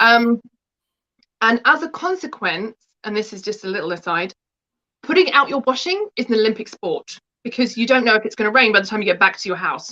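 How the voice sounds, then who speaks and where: In an English accent, a woman talks at a fairly quick pace with a fairly high pitch and lively intonation. Her tone is bright and sharp, the sound dry and close with no echo. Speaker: book contributor, spiritual practitioner. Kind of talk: interview.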